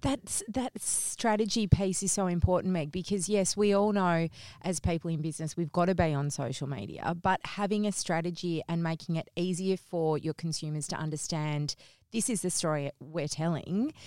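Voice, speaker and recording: With an Australian accent, a woman speaks at a moderate pace and fairly low pitch in a dark, mellow tone with ordinary pitch variation, the sound dry and close with no echo. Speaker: podcast co-host. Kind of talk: scripted intro and casual chat.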